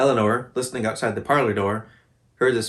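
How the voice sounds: Reading aloud in a natural-sounding voice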